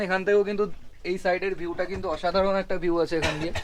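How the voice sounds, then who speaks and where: A man talks in a high-pitched voice. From Kolkata, West Bengal. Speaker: travel vlogger. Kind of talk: casual travel vlog narration.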